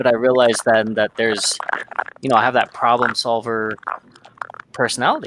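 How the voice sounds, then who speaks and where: Amid noticeable background noise, a man talks at a fairly quick pace in a monotone, flat way, with long, frequent pauses. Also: medium pitch for a man. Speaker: podcast host. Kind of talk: casual discussion. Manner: dry, unemotional.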